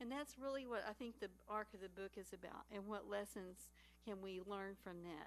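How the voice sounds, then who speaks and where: A woman speaks with a Texas accent and ordinary pitch variation. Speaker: panel speaker. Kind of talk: panel talk. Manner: animated.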